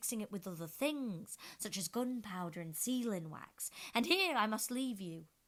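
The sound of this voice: The recording features an unforced reading voice.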